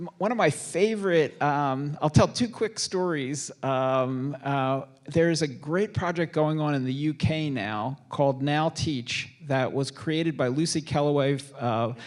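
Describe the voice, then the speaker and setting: An ordinary speaking voice moves at a fairly slow pace with hardly any pauses and ordinary pitch variation. The recording is very clean, with a silent background. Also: man, fairly high pitch for a man. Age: 60s. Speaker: author and speaker on aging. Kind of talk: moderated book talk.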